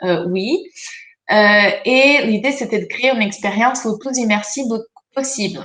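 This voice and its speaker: A woman with a non-native accent and a bright, sharp tone speaks at a fairly slow pace. Her fairly high pitch shows ordinary variation, broken by long, frequent pauses. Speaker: researcher. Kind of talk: presentation. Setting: video conference. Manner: hesitant, many fillers.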